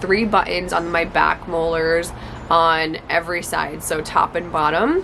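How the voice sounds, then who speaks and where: A woman talks while noticeable background noise runs beneath her. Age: 20s. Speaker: lifestyle vlogger. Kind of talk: personal experience vlog. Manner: casual, filler-heavy.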